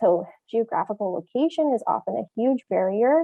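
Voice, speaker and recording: The woman here speaks at a fairly high pitch. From Saskatchewan, Canada. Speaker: veterinarian. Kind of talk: lecture. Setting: webinar.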